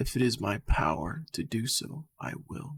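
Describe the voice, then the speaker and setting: A man puts on a character voice at a medium pitch, with lively intonation and a moderate pace. The sound is dry and close, with no echo. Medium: read story. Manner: calm, direct.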